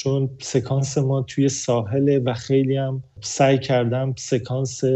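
This man's voice is medium in pitch and somewhat breathy. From Iran. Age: 30s. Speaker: film director. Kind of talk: interview.

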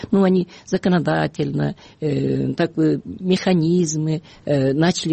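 The speaker is a woman with a very deep, low pitch. She talks at a very slow pace. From Kyrgyzstan. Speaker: human rights activist. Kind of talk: radio interview. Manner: halting, many fillers.

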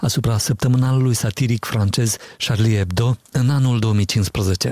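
A man speaks at a moderate pace and a medium pitch, his dark, mellow tone somewhat breathy, with fairly even intonation in a dry, close sound with no echo. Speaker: radio journalist. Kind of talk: news reading.

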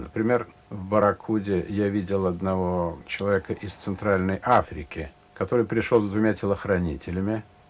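The speaker is a man. He talks at a moderate pace. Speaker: casino regular. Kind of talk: interview.

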